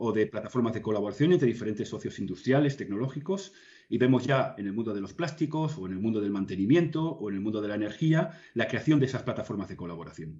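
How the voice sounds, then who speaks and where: A somewhat breathy man speaks very fast with lively intonation. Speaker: consulting executive, guest. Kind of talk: interview answer.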